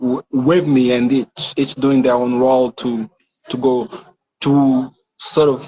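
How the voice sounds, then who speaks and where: A man speaks with a French accent at a very slow pace. His pitch sits in the medium range. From Rwanda (born in DR Congo). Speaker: tech entrepreneur, founder. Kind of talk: interview. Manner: halting, repeats words.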